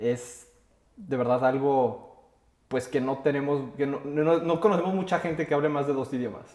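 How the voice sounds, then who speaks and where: The speaker has a Mexican accent. Pitch variation is ordinary. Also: man, fairly high pitch for a man, moderate pace. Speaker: podcast host. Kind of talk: interview; casual chat.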